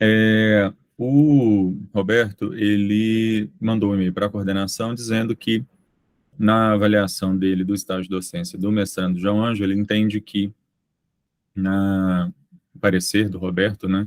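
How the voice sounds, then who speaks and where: A man with a normal speaking voice talks at a fairly low pitch. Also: fairly even intonation, fairly slow pace. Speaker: university program coordinator chairing committee meeting. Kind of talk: committee meeting.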